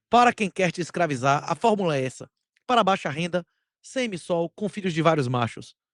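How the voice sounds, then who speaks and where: A man in a Bahian accent speaks at a fairly quick pace with a high pitch, an animated tone and lively intonation. The recording is very clean and dry, close with no echo and a silent background. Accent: Bahian Brazilian Portuguese. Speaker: bitcoin commentator, channel host. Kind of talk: opinion commentary monologue.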